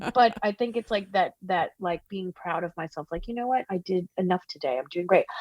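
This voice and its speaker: The woman has a New Jersey accent and a medium pitch with ordinary variation. She talks at a fairly quick pace in a dry, close sound with no echo. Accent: New Jersey American. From New Jersey, US. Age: 40s. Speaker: singer-songwriter. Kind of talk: casual interview chat. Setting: video call.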